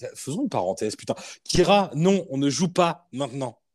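A man's animated tone and lively intonation. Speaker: podcast host. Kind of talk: casual chat. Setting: remote recording.

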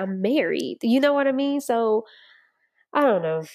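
Against a quiet background, an unremarkable speaking voice keeps a moderate pace and ordinary pitch variation. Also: woman. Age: 20s. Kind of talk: personal monologue, faith testimony. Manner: casual, conversational with laughter.

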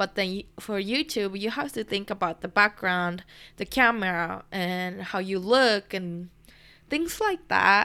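In a very clean recording with a silent background, a woman with a Japanese accent speaks at a fairly slow pace in a bright, sharp tone. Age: 20s. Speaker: podcast host, university student. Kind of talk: casual monologue. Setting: home recording.

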